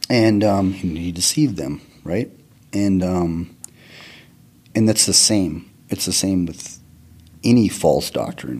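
Very slowly, with long, frequent pauses, a man speaks in an American accent. His very deep, low voice shows ordinary pitch variation. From Northern Arizona, US. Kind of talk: testimony.

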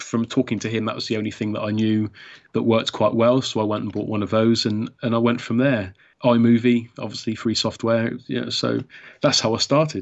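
A man talks at a fairly quick pace in a medium-pitched voice. His intonation is monotone and flat. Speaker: YouTube creator. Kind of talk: casual interview chat. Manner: hesitant, halting with repeats.

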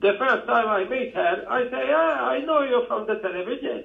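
A man speaks with a Maltese accent at a fairly slow pace, with very wide pitch swings. Noticeable background noise can be heard. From Gozo, Malta. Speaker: podcast guest calling in. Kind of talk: non-native, broken English. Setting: phone.

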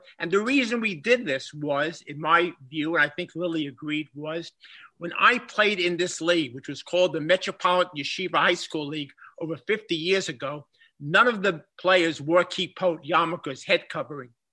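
In a Bronx accent, a man with a high pitch and a bright, sharp tone speaks at a moderate pace with ordinary pitch variation and big swings in loudness against a quiet background. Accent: Bronx New York. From Bronx, New York. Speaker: history professor and former coach. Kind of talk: interview conversation. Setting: remote call.

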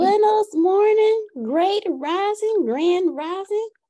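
A woman uses a put-on character voice, squeaky and extremely high in pitch. She speaks at a very slow pace. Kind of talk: mixed Spanish and English greeting. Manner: playful, cheerful greeting.

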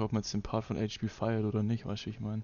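A man's fairly low voice comes at a fairly quick pace. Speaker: livestream reaction host. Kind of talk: casual livestream chat. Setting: YouTube livestream.

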